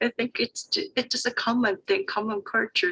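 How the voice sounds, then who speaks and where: A woman speaks at a moderate pace with high pitch and a bright, sharp tone. Her pitch swings very widely. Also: dry, close sound with no echo. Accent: Korean. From South Korea. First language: Korean. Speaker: Korean interpreter. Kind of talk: panel discussion.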